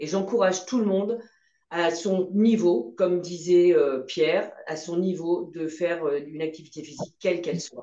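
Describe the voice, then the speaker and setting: A woman talks in an ordinary speaking voice, fairly low in pitch. Her pace is moderate and her pitch varies an ordinary amount. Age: 60s. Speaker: patient. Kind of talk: testimony. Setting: video call.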